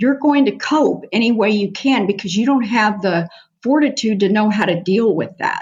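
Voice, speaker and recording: Her intonation lively and her voice somewhat breathy, a woman talks with an American accent. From US Northeast, New Jersey. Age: 70s. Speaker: nurse practitioner and medical missionary. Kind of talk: testimony.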